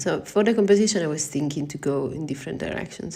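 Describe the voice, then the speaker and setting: Over noticeable background noise, a woman with an Italian accent talks very fast with lively intonation. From Italy. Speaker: watercolor artist. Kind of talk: live painting tutorial. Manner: halting, thinking aloud.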